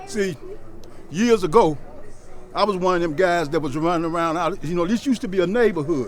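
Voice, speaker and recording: A man with a high pitch speaks at a fairly quick pace, with ordinary pitch variation and long, frequent pauses. Noticeable background noise runs behind him. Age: 70s. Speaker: community program leader. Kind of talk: casual talk to visitors.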